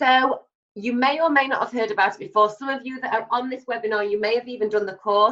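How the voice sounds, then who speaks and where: A woman's fairly high voice with an English accent, lively intonation and a bright, sharp tone. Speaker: personal stylist. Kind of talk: webinar sales pitch. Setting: online webinar. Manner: fast; animated.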